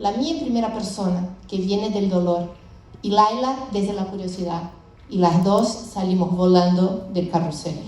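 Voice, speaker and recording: A woman with a medium pitch and ordinary pitch variation speaks at a fairly slow pace, with noticeable background noise and audible room echo. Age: 50s. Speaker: startup founder. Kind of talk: conference presentation.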